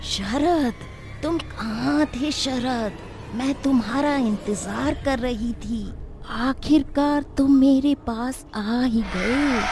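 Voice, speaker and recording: A female-sounding, put-on character voice speaks at a very slow pace with a high pitch. Clear background noise runs under it. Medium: read story. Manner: alternately sweet and menacing.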